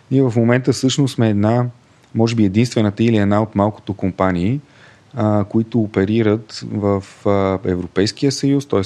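Pitched rather low, a man talks in a normal speaking voice, his pitch shifting in a normal way. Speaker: fintech co-founder and finance director. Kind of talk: interview.

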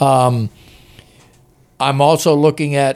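This man has an American accent. He talks in a monotone, with flat intonation. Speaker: basketball writer. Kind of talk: casual chat. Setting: studio.

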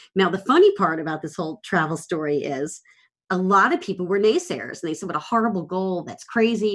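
Against a quiet background, a woman with a normal speaking voice talks at a fairly quick pace and a medium pitch. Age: 50s. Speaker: productivity coach and cancer survivor. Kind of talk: casual chat.

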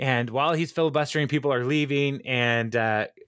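This man has a plain, everyday voice, pitched in the middle range with ordinary pitch variation. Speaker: podcast host. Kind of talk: casual chat. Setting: remote recording over the internet.

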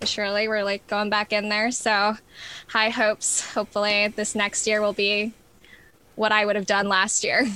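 In an American accent, a woman with a fairly high pitch and a bright, sharp tone speaks at a fairly slow pace. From New York. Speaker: music therapist. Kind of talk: casual interview.

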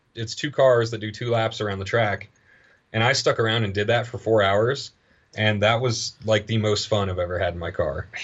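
Speaking at a moderate pace, a man with a fairly low pitch and fairly bright tone shows ordinary pitch variation.

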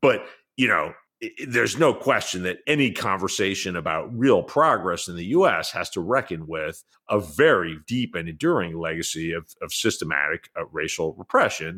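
With an American accent, a man speaks at a moderate pace in a very deep, low voice, his pitch swinging very widely over a very clean recording with a silent background. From New York City. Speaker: journalist and author. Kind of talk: interview conversation.

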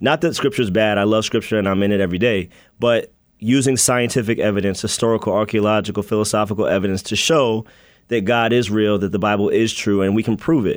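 In an American accent, a man talks at a very fast pace with a fairly low pitch and fairly even intonation. His loudness stays very even, and the recording is very clean with a silent background. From US Mid-Atlantic (Maryland and Virginia). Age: young. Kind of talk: radio interview.

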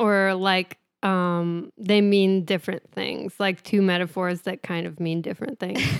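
A woman speaks at a fairly slow pace in a medium pitch, her intonation monotone and flat, with a dry, close sound and no echo. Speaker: podcast co-host. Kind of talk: casual chat.

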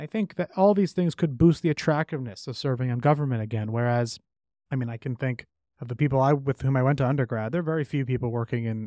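A man with an American accent, medium-pitched with a dark, mellow tone, at a very fast pace on a very clean recording with a silent background. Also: dry, close sound with no echo. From US, New York City. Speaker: author and policy researcher. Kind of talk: interview.

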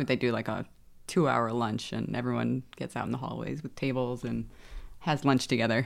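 A woman speaks with a New York accent. Her pace is moderate. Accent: New York American. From New York (Westchester). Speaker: lawyer. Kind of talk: casual chat.

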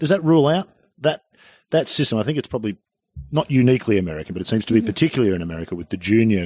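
At a very fast pace, a speaker with an Australian accent uses very wide pitch swings in a dry, close sound with no echo and a quiet background. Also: man, medium pitch for a man. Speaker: golf podcast host. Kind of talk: casual chat.

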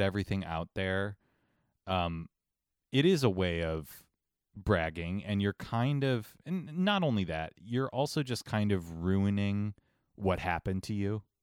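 On a very clean recording with a silent background, a man with a slight Ohio accent speaks at a fairly low pitch, the sound dry and close with no echo. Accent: slight Ohio accent creeping back. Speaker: podcast co-host. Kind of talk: casual chat.

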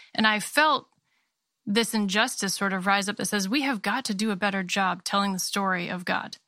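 With a slight Maine accent, a woman speaks at medium pitch and a moderate pace in a bright, sharp tone with fairly even intonation, captured in a very clean recording with a silent background and a dry, close sound with no echo. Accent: slight Maine accent, Canadian-sounding. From Maine, US. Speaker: founder and editor of a creative studio and magazine. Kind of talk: interview conversation; reading aloud.

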